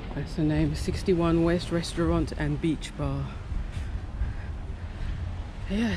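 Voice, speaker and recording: Speech comes at a very slow pace in a dry sound with no echo. Noticeable background noise is present. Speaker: travel vlogger. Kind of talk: casual vlog chat. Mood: relaxed, curious. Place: beach. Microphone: phone near.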